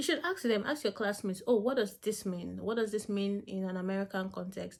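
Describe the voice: A woman speaks at a fairly quick pace with ordinary pitch variation. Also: medium pitch for a woman.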